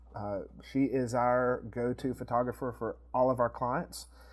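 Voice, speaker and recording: A man talks at a fairly slow pace. The recording is very clean and the background silent. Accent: East Tennessee. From East Tennessee, US. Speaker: video production company co-owner. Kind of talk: casual interview chat.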